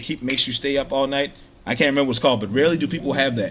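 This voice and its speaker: Music plays in the background as a man talks in a fairly high pitch. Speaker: social media vlogger. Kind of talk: motivational monologue. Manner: fast; animated.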